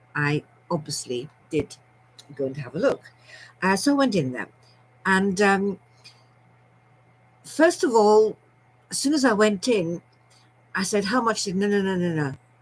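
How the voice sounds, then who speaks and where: At a moderate pace and a medium pitch, a woman sounds somewhat breathy, her voice swinging very widely in pitch, with long, frequent pauses. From Scotland and London. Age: 70s. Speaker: storyteller vlogger. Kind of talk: personal storytelling monologue. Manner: chatty, rambling with many fillers.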